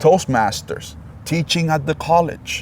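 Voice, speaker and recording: A man's somewhat breathy, fairly high voice with a non-native accent and ordinary pitch variation. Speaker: podcast host. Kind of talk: interview. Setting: in person, face to face. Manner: halting.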